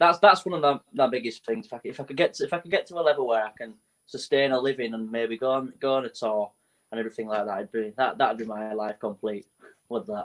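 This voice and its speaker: Lively intonation carries very fast speech in a Leeds accent. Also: man, medium pitch for a man. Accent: northern English, Leeds. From Leeds, northern England (Morley). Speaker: musician. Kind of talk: casual interview.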